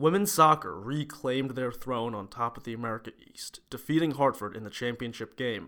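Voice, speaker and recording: An unremarkable speaking voice at a fairly quick pace with ordinary pitch variation, in a very clean recording over a silent background. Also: man. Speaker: sports editor. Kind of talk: scripted newsreading. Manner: brisk, polished sportscaster delivery.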